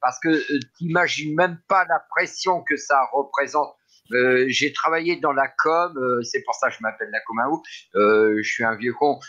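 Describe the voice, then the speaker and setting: Very slowly, a man speaks in a bright, sharp tone. His pitch shows ordinary variation. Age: 60s. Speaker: community member, former communications worker. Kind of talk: casual chat. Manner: halting.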